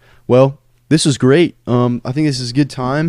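In a very clean recording with a silent background, a man with an American accent speaks in a dark, mellow tone. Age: 20s. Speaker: podcast host. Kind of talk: casual chat. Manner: animated.

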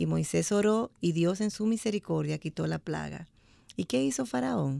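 A woman at a fairly slow pace, dark and mellow in tone, on a very clean recording with a silent background. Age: 60s. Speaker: church women's ministry member. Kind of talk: radio Bible study discussion. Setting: studio.

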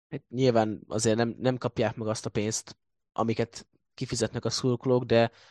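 Against a quiet background, a man speaks at a moderate pace with monotone, flat intonation in a dry, close sound with no echo. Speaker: football blog editor. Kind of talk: casual sports discussion.

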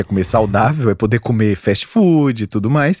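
This man's tone is dark and mellow, with ordinary pitch variation. He talks at a moderate pace on a very clean recording with a silent background. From Minas Gerais, Brazil (Montes Claros). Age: 40s. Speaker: physician specializing in weight loss. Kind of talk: casual chat.

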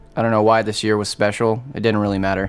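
A man speaks at a medium pitch while music plays in the background. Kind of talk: intense confessional interview, heated. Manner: bitter, emotional, defiant.

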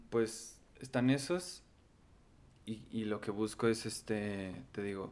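This man speaks with a Mexican accent in a fairly low pitch. His pitch variation is ordinary. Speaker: musician. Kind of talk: casual chat.

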